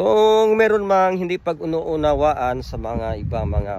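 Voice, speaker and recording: His pitch swings very widely. The speaker is a man. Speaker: fraternity chapter leader. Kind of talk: video greeting message. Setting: outdoors on a friend's farm.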